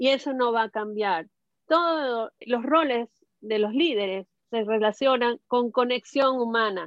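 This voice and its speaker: A woman speaks at a high pitch. She has a Venezuelan accent. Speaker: social communicator and cultural program manager. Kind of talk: casual panel discussion. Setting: video call.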